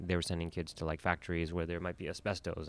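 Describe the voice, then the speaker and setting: Very deep and low in pitch, a man talks at a very fast pace. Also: very clean recording, silent background. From Toronto, Canada. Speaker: filmmaker. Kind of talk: interview about his film.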